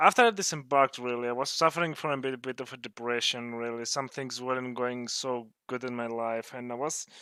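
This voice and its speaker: On a very clean recording with a silent background, a man speaks at a fairly quick pace with a non-native accent, a medium pitch, a bright, sharp tone and fairly even intonation. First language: not English. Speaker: gaming YouTuber. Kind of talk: personal vlog rant. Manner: halting, hesitant with fillers.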